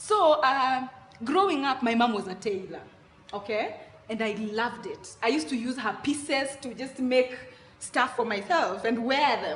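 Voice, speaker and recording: A woman with a Kenyan accent speaks at a moderate pace in a high pitch with lively intonation, amid noticeable background noise and audible room echo. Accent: Kenyan Luo accent, proud of it. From Kenya, Nairobi (Mathare) and Kisumu. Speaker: content creator on African culture. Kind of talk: interview. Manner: casual, halting with self-corrections.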